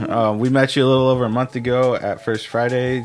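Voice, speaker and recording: A man with an American accent and monotone, flat intonation over light background noise. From Kansas. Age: 30s. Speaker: podcast host. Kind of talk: casual chat. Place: studio. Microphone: studio mic.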